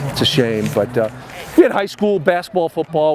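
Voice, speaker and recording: Amid noticeable background noise, a man speaks with an American accent. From Chicago, Illinois. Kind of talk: interview answer.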